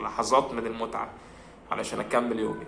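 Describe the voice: Fast male speech with vocal fry, a bright, sharp tone and audible room echo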